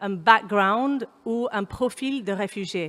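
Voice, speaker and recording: A woman speaks with an English accent. Her pitch sits in the medium range. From Kenya. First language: English (speaking French). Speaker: humanitarian consultant, panel speaker. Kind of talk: panel talk. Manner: hesitant, many fillers.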